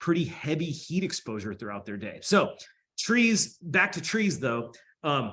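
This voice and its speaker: At a fairly slow pace, a man with a fairly high pitch speaks with vocal fry against a quiet background. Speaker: researcher presenting on urban heat. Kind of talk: panel presentation and discussion. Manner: halting.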